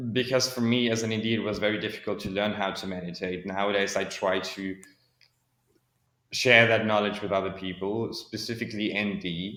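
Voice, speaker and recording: A man's fairly low, bright, sharp voice in monotone, flat intonation, with audible room echo. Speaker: podcast guest, neurodiversity advocate. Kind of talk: interview conversation.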